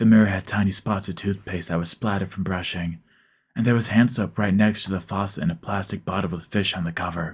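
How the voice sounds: Ordinary pitch variation shapes a natural reading voice.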